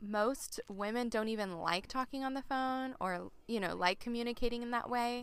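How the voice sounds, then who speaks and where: A woman speaks at a high pitch with ordinary pitch variation. Her tone is bright and sharp. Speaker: podcast co-host, homeschooling mother. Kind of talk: casual chat.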